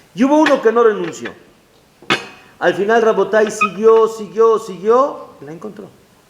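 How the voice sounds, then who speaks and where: A man at a high pitch and moderate pace, with ordinary pitch variation, long and frequent pauses, and noticeable background noise. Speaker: rabbi. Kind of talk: lecture. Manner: halting.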